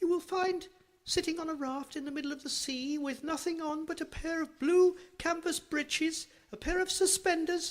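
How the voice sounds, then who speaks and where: This put-on character voice is squeaky and extremely high in pitch, delivered at a moderate pace. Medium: read story. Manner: sly, flattering.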